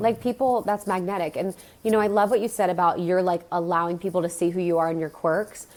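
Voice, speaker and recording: A woman speaks very fast at a medium pitch. Her pitch varies in an ordinary way. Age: 30s. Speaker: wellness podcast host, guest. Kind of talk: casual chat.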